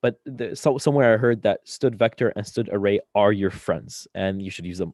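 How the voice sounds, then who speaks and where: The voice has a dark, mellow tone and ordinary pitch variation at a fairly quick pace. The sound is dry and close with no echo, over a quiet background. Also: man. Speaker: student workshop instructor. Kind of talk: tutorial. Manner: fast; halting, many filler words.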